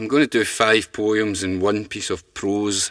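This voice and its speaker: A man speaks in a Glaswegian accent. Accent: Glaswegian Scottish. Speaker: poet. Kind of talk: casual spoken introduction to poems. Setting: studio.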